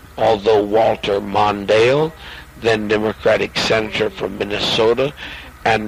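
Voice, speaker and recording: Over background music, a man speaks at a moderate pace. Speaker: cult leader. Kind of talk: reading a magazine article aloud with commentary. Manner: halting, stumbling over words.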